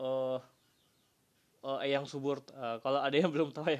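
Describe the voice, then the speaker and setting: In a relaxed tone, a man speaks with a fairly high pitch and monotone, flat intonation. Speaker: solo podcaster. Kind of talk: casual monologue. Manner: halting, many fillers.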